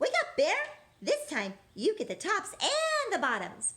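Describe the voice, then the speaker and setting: A squeaky, put-on character voice. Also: woman, extremely high pitch for a woman, fairly slow pace. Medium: read story. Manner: smug, cheerful.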